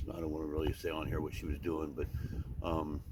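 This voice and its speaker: Over noticeable background noise, a man speaks very fast at a very deep, low pitch with monotone, flat intonation. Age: 50s. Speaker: homeless veteran. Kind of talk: interview. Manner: halting.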